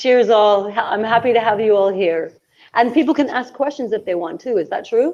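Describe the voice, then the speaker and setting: Against a quiet background, a woman with a Canadian accent talks at a fairly quick pace and a fairly high pitch in an unremarkable speaking voice. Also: ordinary pitch variation. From Canada. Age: 60s. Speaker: traveller and author. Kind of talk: casual chat. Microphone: phone.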